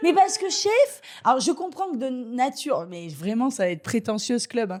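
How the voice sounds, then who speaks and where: A woman speaks with a high pitch and an animated tone. Her pitch swings very widely and her loudness rises and falls sharply. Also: moderate pace. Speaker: stand-up comedian. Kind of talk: live podcast chat before audience. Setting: stage with live audience.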